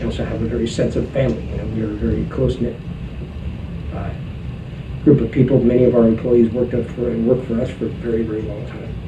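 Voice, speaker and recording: A man's very fast speech broken by long, frequent pauses, with audible room echo and noticeable background noise. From San Francisco, Sunset District. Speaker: butcher shop owner. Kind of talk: documentary interview.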